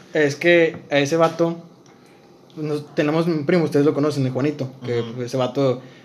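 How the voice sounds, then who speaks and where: A fairly high-pitched man at a moderate pace, with fairly even intonation and noticeable background noise. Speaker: podcast co-host. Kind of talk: casual chat.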